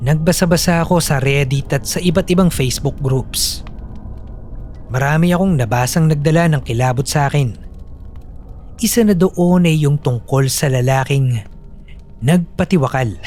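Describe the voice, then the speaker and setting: Over noticeable background noise, a man with a fairly high pitch and ordinary pitch variation speaks at a moderate pace, with long, frequent pauses. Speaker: narrator and voice actor of horror stories. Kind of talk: horror story narration, with submitted stories read aloud. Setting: home studio recording.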